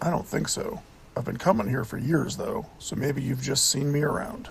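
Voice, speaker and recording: A raspy, put-on character voice with lively intonation at a moderate pace, over clear background noise. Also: man, fairly high pitch for a man. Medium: read story. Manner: slow, calm.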